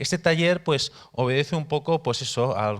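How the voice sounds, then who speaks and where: A man speaks with a Spanish accent and ordinary pitch variation. The recording is very clean, with a silent background. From Spain, Barcelona area. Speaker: missionary, workshop teacher. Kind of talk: workshop teaching. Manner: halting, repeats words.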